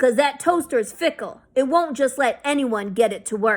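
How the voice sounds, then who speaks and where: In a put-on character voice, a woman speaks at a high pitch and moderate pace with ordinary pitch variation, in a very clean recording with a silent background. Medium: read story. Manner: casual, pushy.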